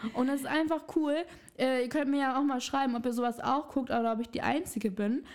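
The speech moves at a fairly quick pace with very even loudness. Its intonation is fairly even. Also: woman, high pitch for a woman. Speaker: podcast co-host. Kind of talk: casual chat.

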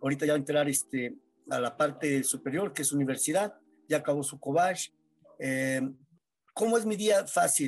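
A man speaks at a moderate pace with fairly high pitch, ordinary pitch variation, and long, frequent pauses. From Mexico, San Luis Potosí. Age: 40s. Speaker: amputee football player. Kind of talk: interview testimony. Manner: halting.

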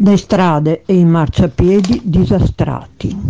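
A woman speaks with a fairly low pitch and a dark, mellow tone. Her pitch shows ordinary variation. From Venice, Italy. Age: 70s. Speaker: local election candidate. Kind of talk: campaign statement.

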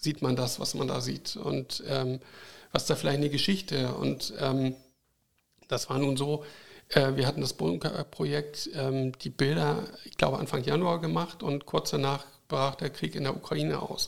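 The speaker goes at a fairly slow pace. Pitch variation is ordinary. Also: man. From northern Germany, Kiel. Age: 50s. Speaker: light painting photographer. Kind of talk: interview. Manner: halting, many fillers.

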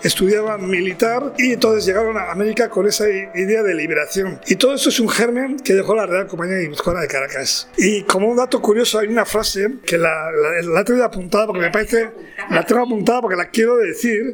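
Music plays behind a man with a high voice who talks at a very fast pace, hardly pausing, with ordinary pitch variation. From Basque Country, Tolosa (Gipuzkoa). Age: 60s. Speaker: master chocolatier. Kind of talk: interview.

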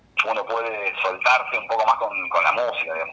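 A man is speaking. Background noise is noticeable. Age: 30s. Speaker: DJ and architect. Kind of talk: interview. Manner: halting.

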